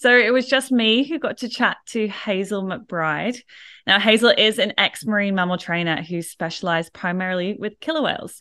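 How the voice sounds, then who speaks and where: With an Australian accent, a woman speaks at medium pitch and a moderate pace, her bright, sharp tone and lively intonation set against a quiet background. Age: 30s. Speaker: podcast host, animal trainer. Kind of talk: interview conversation.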